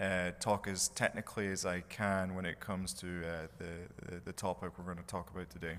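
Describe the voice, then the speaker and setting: Very deep, low-pitched man with a Scottish accent, monotone and flat, at a fairly quick pace in a very clean recording with a silent background. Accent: Scottish accent, noticeable. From Scotland. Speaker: mechanical engineer, conference speaker. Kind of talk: conference presentation.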